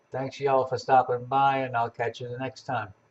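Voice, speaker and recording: Somewhat breathy male speech at a medium pitch and a fairly quick pace. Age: 70s. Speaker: amateur astronomer livestreaming. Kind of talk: casual livestream chat.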